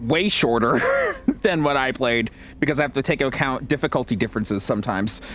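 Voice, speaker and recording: Noticeable background noise sits behind a man whose medium-pitched voice shows ordinary pitch variation. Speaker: gaming streamer. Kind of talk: casual chat during game stream. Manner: repetitive, halting.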